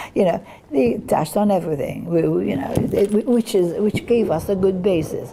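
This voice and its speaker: A woman at a medium pitch talks at a moderate pace with lively intonation. Noticeable background noise runs behind her. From Malta. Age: 80s+. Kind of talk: interview. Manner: halting.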